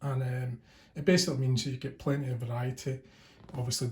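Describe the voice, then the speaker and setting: Here a man speaks at medium pitch, somewhat breathy. His intonation stays fairly even. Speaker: tabletop gaming youtuber. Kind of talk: unboxing video. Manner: fast.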